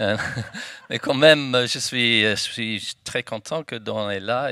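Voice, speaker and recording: Speaking very slowly with an English accent, a man has a bright, sharp tone on a very clean recording with a silent background. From United Kingdom. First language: English (speaking French). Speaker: economist. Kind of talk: panel debate. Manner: halting French.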